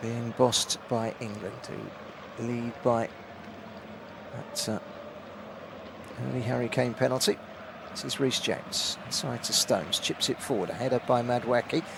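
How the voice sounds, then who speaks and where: Over noticeable background noise, a man speaks at a moderate pace and a medium pitch. His intonation is fairly even, and he takes long, frequent pauses. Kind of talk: live football radio commentary.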